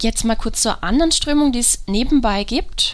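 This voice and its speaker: A woman is speaking. Her pace is fairly slow. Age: 20s. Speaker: psychologist and podcast host. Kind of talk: solo podcast monologue.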